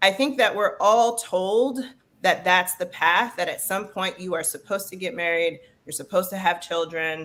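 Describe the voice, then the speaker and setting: A woman with an American accent has an unremarkable speaking voice at a medium pitch. She talks at a moderate pace with ordinary pitch variation. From Detroit, Michigan, US. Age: 40s. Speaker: leadership coach. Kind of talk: interview conversation.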